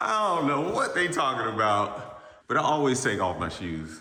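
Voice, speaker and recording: A man's pitch swings very widely as he talks at a moderate pace, with audible room echo and noticeable background noise around him. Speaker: real estate appraiser and YouTuber. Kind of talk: casual vlog walkthrough. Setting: outdoors then inside a house.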